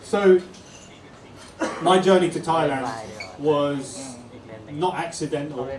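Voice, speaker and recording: With a London accent, a man speaks at a fairly high pitch with ordinary pitch variation, amid audible room echo and noticeable background noise. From England, North London. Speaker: YouTuber. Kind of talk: talk to audience. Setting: pub event with audience.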